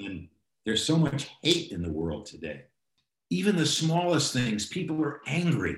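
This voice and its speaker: A man's fairly high voice with vocal fry and very wide pitch swings. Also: moderate pace. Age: 70s. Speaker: film producer and former assistant director. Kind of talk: casual interview. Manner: energetic.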